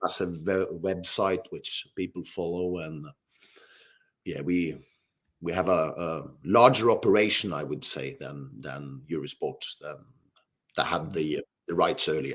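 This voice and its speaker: A man with a Norwegian accent speaks at a fairly slow pace, with long, frequent pauses and very deep, low pitch. His voice shows vocal fry, ordinary pitch variation and big swings in loudness. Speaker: TV football presenter. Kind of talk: interview. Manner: hesitant, many fillers.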